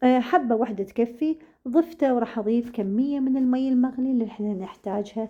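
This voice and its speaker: A woman's high-pitched voice with a dark, mellow tone at a fairly quick pace. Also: ordinary pitch variation, hardly any pauses. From Iraq. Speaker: cooking channel host. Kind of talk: cooking tutorial. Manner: halting, many fillers.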